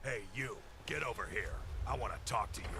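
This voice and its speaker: A man in a put-on character voice over loud background noise. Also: fairly quick pace. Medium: video game. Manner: gruff, threatening.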